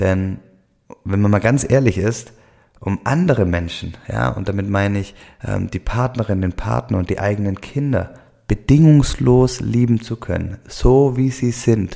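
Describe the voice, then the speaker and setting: A man speaks in a Swabian accent at a fairly slow pace. His tone is dark and mellow. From Swabia, southwestern Germany. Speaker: podcast host, life coach. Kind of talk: solo podcast monologue. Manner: many fillers and hesitations.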